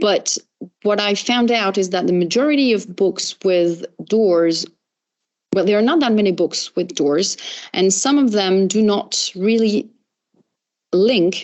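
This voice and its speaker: At a moderate pace, a woman with a French accent speaks at a medium pitch with ordinary pitch variation. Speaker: professor. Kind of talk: academic Q&A after lecture. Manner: halting, many fillers.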